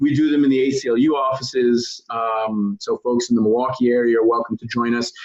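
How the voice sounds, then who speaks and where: A man in a New York accent at medium pitch, fairly quick with hardly any pauses, fairly even intonation and very even loudness. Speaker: advocacy organizer. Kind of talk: training session. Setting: video call. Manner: fast-paced.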